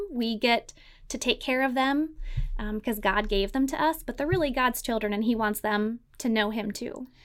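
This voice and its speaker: A woman with a high pitch and ordinary pitch variation talks at a moderate pace on a very clean recording with a silent background. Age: 30s. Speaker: church children's ministry leader. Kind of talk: interview conversation.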